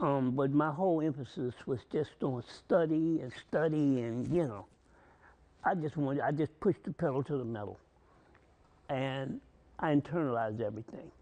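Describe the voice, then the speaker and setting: Against a quiet background, a man with a dark, mellow tone and a fairly high pitch speaks at a moderate pace, using ordinary pitch variation and long, frequent pauses. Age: 70s. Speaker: war veteran and college graduate. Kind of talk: TV interview.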